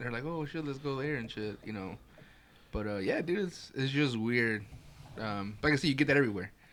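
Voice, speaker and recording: Lively intonation from a man with a Chicago accent, medium pitch, and a fairly quick pace. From Chicago area, US Midwest. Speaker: podcast host. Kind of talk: casual chat.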